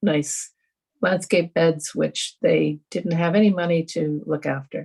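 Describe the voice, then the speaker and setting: Speaking at a fairly slow pace, a woman with a fairly low pitch uses vocal fry. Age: 70s. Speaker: environmental volunteer organizer. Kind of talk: panel discussion. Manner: halting, many fillers.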